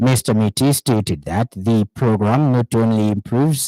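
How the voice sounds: A man speaks at a fairly slow pace with a dark, mellow tone and fairly low pitch. The sound is dry and close, with no echo.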